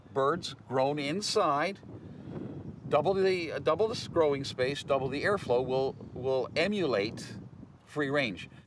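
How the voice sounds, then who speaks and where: Lively intonation marks this man's fairly high voice, which moves at a fairly slow pace with long, frequent pauses. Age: 60s. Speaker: poultry processor. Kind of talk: interview testimony.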